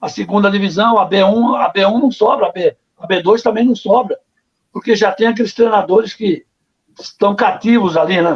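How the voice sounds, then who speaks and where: A man talks at a high pitch. His pace is moderate and his pitch variation ordinary. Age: 60s. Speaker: former goalkeeper, football coach. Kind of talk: interview.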